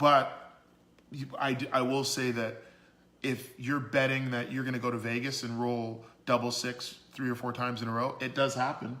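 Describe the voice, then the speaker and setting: A man's medium-pitched, monotone, flat delivery at a moderate pace, with audible room echo. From Canada, Toronto. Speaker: business owner, dating advice guest. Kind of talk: podcast interview. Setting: livestream on social media.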